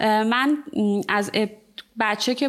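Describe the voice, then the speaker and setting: Here is a woman with a plain, everyday voice. Her pitch is fairly high, with ordinary variation. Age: 30s. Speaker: ceramic artist and studio owner. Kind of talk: casual interview.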